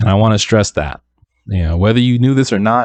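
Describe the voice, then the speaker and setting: A man speaks softly at a fairly low pitch. The sound is dry and close, with no echo. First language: not English. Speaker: independent music producer and YouTuber. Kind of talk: casual tutorial talk to camera. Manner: soft-spoken.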